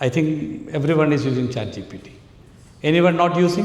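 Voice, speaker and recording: With a Keralan accent, a man speaks at a fairly high pitch and lively intonation amid audible room echo. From Kerala, India. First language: Malayalam. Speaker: AI trainer, entrepreneur. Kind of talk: workshop talk. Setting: conference hall with audience. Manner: animated.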